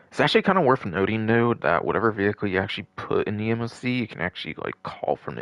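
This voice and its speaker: A man's voice carries vocal fry, recorded dry and close with no echo. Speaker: gaming livestreamer. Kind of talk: live gameplay commentary. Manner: casual, filler-heavy.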